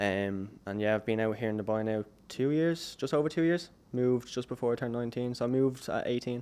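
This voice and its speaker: Talking at a very fast pace, a man with an Irish accent has a dark, mellow tone, a medium pitch and ordinary pitch variation. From Ireland. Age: 20s. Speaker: videographer. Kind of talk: podcast interview.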